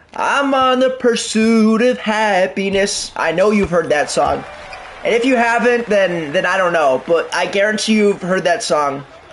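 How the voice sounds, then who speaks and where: Fairly slow speech of very even loudness and ordinary pitch variation, against noticeable background noise. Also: man, high pitch for a man. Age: 20s. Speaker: gaming streamer. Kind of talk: live gameplay commentary and casual chat with viewers. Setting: live stream, talking while playing. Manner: rambling, heavy use of fillers like 'like' and 'um'.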